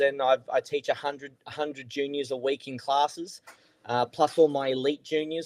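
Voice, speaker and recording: A man is speaking here. He has an Australian accent. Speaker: golf coach, podcast co-host. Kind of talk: casual podcast chat.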